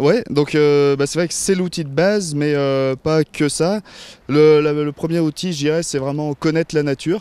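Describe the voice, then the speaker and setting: A man with a fairly high pitch and a dark, mellow tone talks at a fairly slow pace with fairly even intonation. The sound is dry and close, with no echo. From France, Maurienne valley (Savoie). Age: 20s. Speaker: nature photographer and filmmaker. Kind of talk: interview. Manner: hesitant, many fillers.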